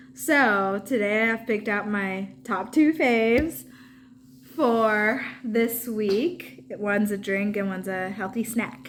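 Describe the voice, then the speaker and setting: With audible room echo and noticeable background noise, a woman speaks at a very slow pace using very wide pitch swings. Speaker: lifestyle vlogger. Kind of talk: casual product review vlog. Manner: animated.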